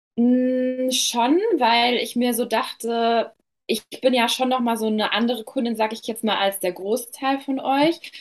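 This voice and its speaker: A woman's normal speaking voice, fairly high in pitch, at a fairly slow pace. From western Germany, Ruhr area near Dortmund. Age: 20s. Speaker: beauty business owner. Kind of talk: client testimonial interview.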